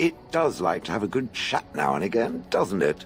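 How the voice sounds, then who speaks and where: A rumbling put-on character voice from a man at a moderate pace, with clear music in the background. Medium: video game. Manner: sardonic, grumbling, calls listener "it".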